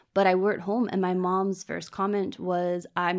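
A woman speaks with a Virginia accent at a medium pitch and fairly even intonation. The recording is very clean, with a silent background. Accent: American (Virginia). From US, Virginia (Richmond suburbs). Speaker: interviewee, immigrant. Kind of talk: interview.

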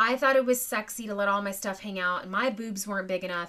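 On a very clean recording with a silent background, a woman speaks at a medium pitch in a bright, sharp, animated tone with ordinary pitch variation. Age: 40s. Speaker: podcast host and homesteading mom. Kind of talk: casual chat.

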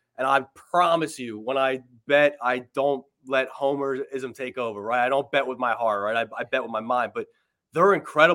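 A man with a normal speaking voice talks at a medium pitch and moderate pace, with ordinary pitch variation. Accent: American. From Philadelphia / South Jersey, US. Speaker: sports radio host, podcast co-host. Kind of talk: casual sports betting chat.

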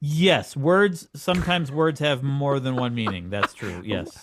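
A man with a normal speaking voice talks at a fairly slow pace, his pitch fairly high and his intonation lively. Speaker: podcast co-host.

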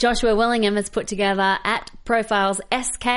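Over a quiet background, a woman with an Australian accent speaks at a fairly high pitch and with fairly even intonation. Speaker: film podcast co-host. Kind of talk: casual chat. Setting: studio.

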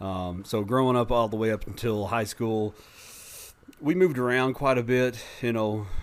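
At a moderate pace, a man talks in a normal speaking voice, medium in pitch with ordinary pitch variation. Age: 40s. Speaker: person in recovery. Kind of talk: casual interview telling life story. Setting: studio.

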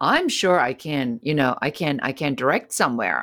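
A woman with a German accent speaks in a very deep, low pitch. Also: very clean recording, silent background. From Germany. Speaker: entrepreneur. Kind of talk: interview.

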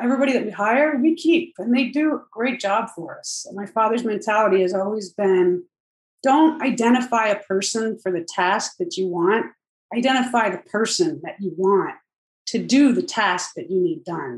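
Speaking with an American accent, a woman with an ordinary speaking voice talks at a moderate pace and fairly high pitch, with lively intonation and big swings in loudness. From Northern New Jersey. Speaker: company executive in family business. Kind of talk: interview.

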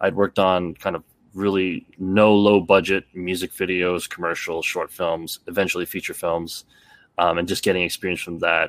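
A man with a Canadian accent speaks at a moderate pace in a very deep, low pitch with monotone, flat intonation. The recording is very clean and silent, with a dry, close sound and no echo. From Canada. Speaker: stuntman and martial artist. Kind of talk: casual chat.

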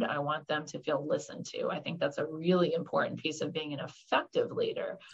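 With an American accent, a woman speaks at a moderate pace in a very deep, low pitch. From Florida, Orlando. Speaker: state senator, nurse practitioner, navy veteran. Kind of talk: interview.

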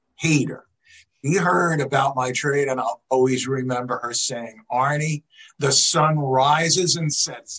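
Using an ordinary speaking voice, a man talks fairly slowly at a fairly high pitch, his intonation fairly even. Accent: American. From New York. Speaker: former professional baseball player. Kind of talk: personal storytelling.

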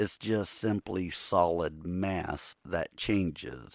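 A man with a very deep, low pitch and an American accent, ordinary pitch variation, a dry, close sound with no echo, and a very clean recording over a silent background. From Ohio. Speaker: podcast host, Bigfoot researcher. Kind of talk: solo podcast monologue. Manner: casual, rambling.

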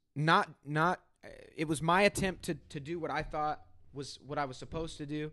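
A bright, sharp voice with an American accent, fairly even intonation and a moderate pace, over a quiet background. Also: man, fairly high pitch for a man. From US Midwest, Southern Illinois (Benton). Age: 20s. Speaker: podcaster. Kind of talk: casual interview. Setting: in person at host's home.

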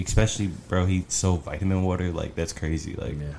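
A man with an American accent and a very deep, low pitch keeps his intonation fairly even over noticeable background noise. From New Jersey. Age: 20s. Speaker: professional gamer and rapper. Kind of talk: casual podcast interview.

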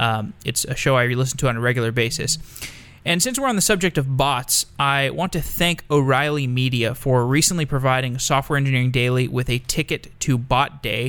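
A man talks in a normal speaking voice. His pitch is medium, with ordinary pitch variation. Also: fairly quick pace. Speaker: podcast host reading intro and ad. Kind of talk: scripted intro and sponsor read.

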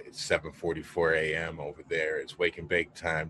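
A man is speaking. His pace is fairly slow. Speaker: cannabis podcast host. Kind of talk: casual chat. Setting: video call.

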